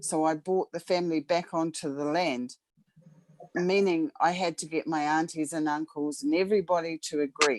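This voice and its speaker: An unremarkable speaking voice, fairly even in intonation, at a moderate pace, with a dry, close sound and no echo. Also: woman, fairly low pitch for a woman. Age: 50s. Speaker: participant. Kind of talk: personal story.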